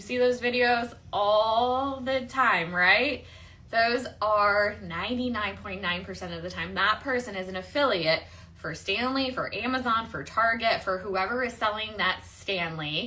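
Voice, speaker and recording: A woman with a Midwestern accent, fairly high pitch and ordinary pitch variation, bright and sharp in tone, with big swings in loudness and audible room echo. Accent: Midwestern, nasal. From US Midwest, Michigan. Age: 40s. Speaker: online marketing coach. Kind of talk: livestream chat and pitch. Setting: livestream. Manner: casual, chatty.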